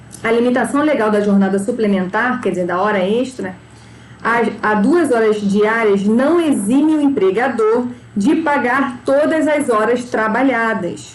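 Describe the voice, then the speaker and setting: A woman's fairly high voice at a fairly slow pace, with very even loudness, ordinary pitch variation, audible room echo and noticeable background noise. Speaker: labor law teacher. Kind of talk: lecture.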